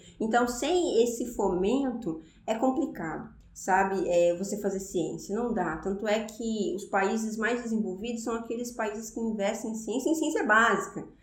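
A woman's fairly high voice moves with lively intonation at a moderate pace, with audible room echo around it. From Brazil, interior of São Paulo state. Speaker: astrophysicist. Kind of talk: interview. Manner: halting.

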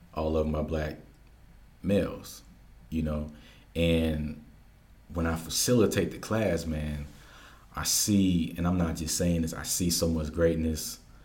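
Amid audible room echo, a man with a very deep, low, somewhat breathy voice speaks at a fairly slow pace with fairly even intonation and long, frequent pauses. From Georgia, US (military upbringing). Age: young. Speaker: community educator and workshop facilitator. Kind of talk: interview conversation.

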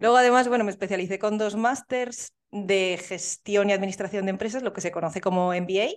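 In a plain, everyday voice, a woman at medium pitch talks at a fairly quick pace with fairly even intonation and hardly any pauses. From Spain, Soria. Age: 30s. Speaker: entrepreneur. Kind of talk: interview.

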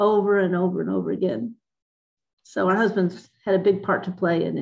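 With an American accent, a woman speaks at a moderate pace with fairly even intonation in an ordinary speaking voice. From Dallas, Texas. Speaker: author and biblical counselor. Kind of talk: interview.

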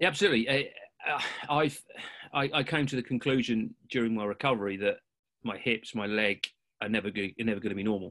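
Bright and sharp in tone, a man speaks at a very fast pace. Long, frequent pauses break it up in a very clean recording with a silent background. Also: medium pitch for a man, ordinary pitch variation. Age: 40s. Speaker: hip dysplasia patient. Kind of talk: casual chat.

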